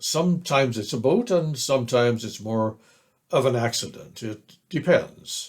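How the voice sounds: Lively intonation in a natural reading voice, with a quiet background.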